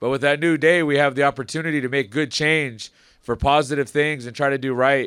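In a normal speaking voice, a man talks at a fairly quick pace with fairly even intonation and a fairly high pitch, on a very clean recording with a silent background. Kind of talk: ceremony speech. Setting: outdoors.

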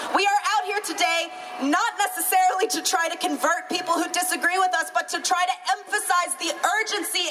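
With an American accent, a raised, projected voice moves at a fairly quick pace over noticeable background noise. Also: woman. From US South (Florida/Alabama). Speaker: activist organizer. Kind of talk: rally speech. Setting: outdoor rally.

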